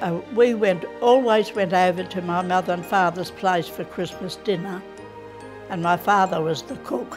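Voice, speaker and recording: A woman speaks at a moderate pace with an Australian accent. Music plays clearly in the background. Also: ordinary pitch variation. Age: 80s+. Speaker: interviewee. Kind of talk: interview answer. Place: home room. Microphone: lapel.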